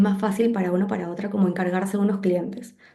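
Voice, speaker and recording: Audible room echo surrounds a woman whose medium-pitched voice is somewhat breathy with a dark, mellow tone. She talks at a fairly quick pace. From Peru. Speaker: graphic designer. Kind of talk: interview conversation. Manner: fast.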